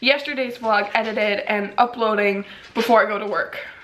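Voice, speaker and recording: A woman speaks over noticeable background noise. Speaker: vlogger. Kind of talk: casual vlog monologue.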